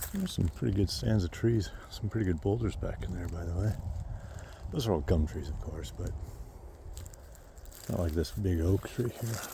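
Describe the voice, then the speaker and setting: A man talks at a moderate pace with a very deep, low pitch and a dark, mellow tone marked by vocal fry. His intonation is lively, broken by long, frequent pauses. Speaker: vlogger on own land. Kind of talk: casual walk-and-talk vlog. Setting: outdoors on a hike. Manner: whispering at times.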